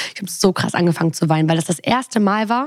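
Somewhat breathy, the voice races at a very fast pace with lively intonation. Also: woman. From Germany, Bonn. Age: 20s. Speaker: podcast host. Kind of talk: casual chat.

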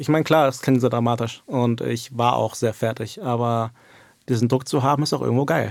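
A man talks in an unremarkable speaking voice. His pitch is medium and his pace fairly quick. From Germany. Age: 20s. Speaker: esports coach. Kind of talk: interview.

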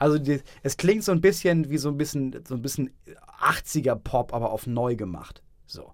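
Speaking at a moderate pace, a man with a normal speaking voice uses lively intonation at a fairly high pitch. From northern Germany, Schleswig-Holstein. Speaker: podcast co-host. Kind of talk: casual chat.

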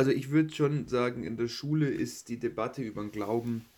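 A dark, mellow tone carries a man's moderately paced speech. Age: 20s. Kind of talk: casual interview.

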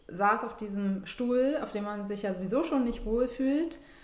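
A woman's fairly high voice at a moderate pace, ordinary pitch variation, noticeable background noise and audible room echo. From southern Germany. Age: 30s. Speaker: interviewee sharing personal health story. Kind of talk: personal testimony in casual interview.

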